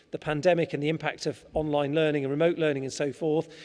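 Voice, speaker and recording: Dark and mellow in tone, a man's voice comes with an English accent. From England. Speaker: school teacher. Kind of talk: presentation to parents. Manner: halting.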